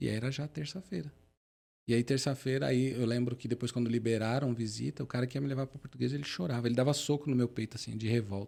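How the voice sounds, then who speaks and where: Dark and mellow in tone, a man talks at a very fast pace and medium pitch, sounding somewhat breathy. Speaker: motivational speaker, wheelchair user. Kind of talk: podcast interview, personal testimony.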